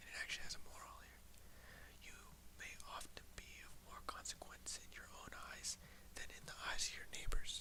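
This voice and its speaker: The speaker whispers at a fairly quick pace. Long pauses come often. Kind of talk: read story. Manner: whispered.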